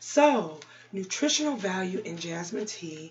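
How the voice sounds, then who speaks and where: Over noticeable background noise, a woman speaks at a medium pitch and a fairly slow pace. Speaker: ASMR creator. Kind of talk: ASMR herbal health talk. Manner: whispered.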